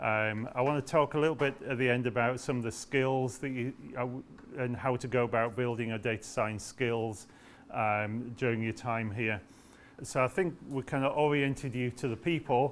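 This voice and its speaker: A man with a British accent, medium pitch, fairly even intonation and a moderate pace. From UK. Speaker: professor. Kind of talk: orientation talk. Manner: hesitant with fillers.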